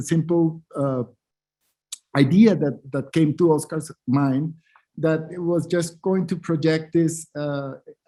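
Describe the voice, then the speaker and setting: In a Spanish accent, the speaker talks at a very slow pace with fairly even intonation and a dark, mellow tone. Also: man. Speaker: artist and curator. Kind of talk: panel discussion. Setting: online symposium, video call. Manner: halting, many repetitions.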